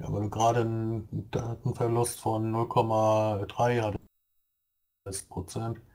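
A man talks at a very slow pace and medium pitch, somewhat breathy and dark and mellow in tone. His intonation is monotone and flat. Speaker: gaming podcast co-host. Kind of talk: casual chat.

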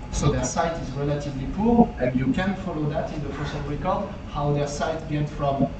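A man at a moderate pace with ordinary pitch variation, audible room echo and loud background noise. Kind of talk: lecture. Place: hall.

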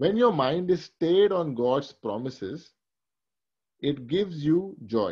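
Very slow in pace, a man speaks with a fairly high pitch. His pitch swings very widely. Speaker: Bible teacher. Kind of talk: sermon. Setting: video call.

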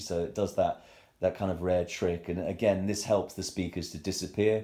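The voice has a dark, mellow tone and monotone, flat intonation, moving at a fairly quick pace against a quiet background. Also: man. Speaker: audiophile showing his hi-fi system. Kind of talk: self-recorded room tour. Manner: fast; hesitant, many fillers. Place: home room. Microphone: phone near.

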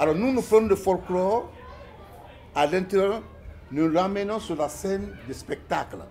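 Speaking at a high pitch for a man, he moves at a fairly slow pace with ordinary pitch variation. Long, frequent pauses break up his speech over light background noise. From Guinea. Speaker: ballet company director. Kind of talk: interview. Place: home room. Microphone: phone near.

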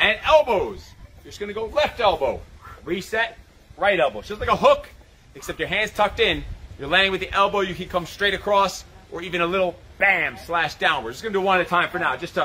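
Using a raised, projected voice, a man talks at a very fast pace with big swings in loudness and ordinary pitch variation. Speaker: fitness coach. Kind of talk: live workout instruction. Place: garden.

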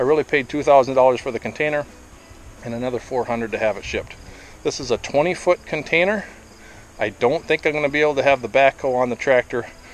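Talking at a very fast pace, a man shows ordinary pitch variation in a dry sound with no echo and light background noise. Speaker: property owner vlogger. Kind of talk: casual vlog chat. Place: open country. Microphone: phone near.

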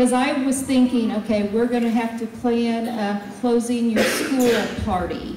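A woman at a fairly slow pace, with audible room echo and music in the background. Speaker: presenter. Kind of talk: public meeting address. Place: hall.

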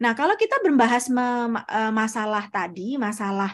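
A woman's somewhat breathy voice, fairly high in pitch, with ordinary pitch variation. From Indonesia, Surabaya; East Java, Indonesia. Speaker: researcher and doctoral student; presenter. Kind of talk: lecture. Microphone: video call.

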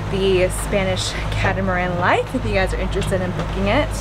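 Music plays behind a woman as she talks. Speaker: travel vlogger. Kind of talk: casual vlog chat. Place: boat. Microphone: phone near.

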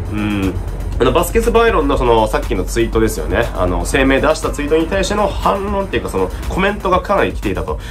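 A man at a very fast pace over clear music in the background. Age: 30s. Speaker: football commentator. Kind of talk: casual talk to camera. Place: home room. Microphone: phone near.

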